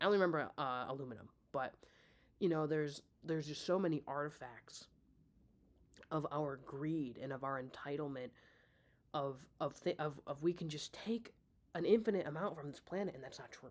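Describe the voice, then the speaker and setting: With an American accent, the speaker moves at a fairly quick pace but leaves long, frequent pauses. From US Midwest. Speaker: vlogger. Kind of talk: casual monologue. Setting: talking to laptop at home. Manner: halting, many fillers and restarts. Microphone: laptop mic, poor audio.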